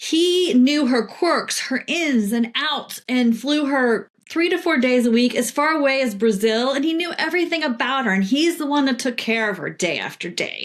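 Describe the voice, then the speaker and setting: Against noticeable background noise, a woman with a high pitch talks with lively intonation and hardly any pauses. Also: moderate pace. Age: 60s. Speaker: PR professional and children's book author. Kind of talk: interview conversation.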